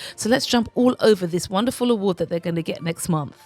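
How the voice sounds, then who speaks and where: With music in the background, a woman in a British accent speaks with lively intonation in a dry, close sound with no echo. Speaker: royal news commentator. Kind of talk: casual commentary monologue. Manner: chatty, playful.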